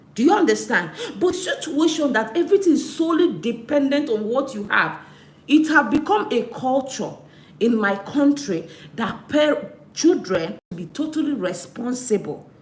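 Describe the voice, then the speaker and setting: A woman's high voice at a moderate pace, with very wide pitch swings, audible room echo and noticeable background noise. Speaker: live stream host. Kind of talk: live stream talk. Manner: animated.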